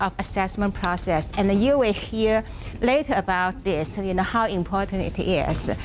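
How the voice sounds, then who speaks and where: A woman at medium pitch with ordinary pitch variation and a fairly slow pace, over noticeable background noise. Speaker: workshop presenter, education professor. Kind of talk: lecture. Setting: classroom with live audience. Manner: halting.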